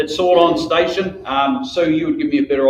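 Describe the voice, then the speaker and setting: The speaker talks very fast with a New Zealand accent. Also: man. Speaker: local councillor and election candidate. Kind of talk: public speech at candidates forum.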